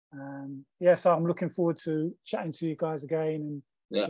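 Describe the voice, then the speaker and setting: A somewhat breathy man's voice, dry with no echo, over a quiet background. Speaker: guest. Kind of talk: interview answer. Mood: warm, reflective. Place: home room.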